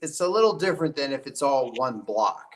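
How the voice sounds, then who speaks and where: Using an unremarkable speaking voice with an American accent, a man talks at a moderate pace, his pitch fairly high and his intonation lively. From West Virginia. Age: 50s. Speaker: trial attorney and hunter. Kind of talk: podcast interview.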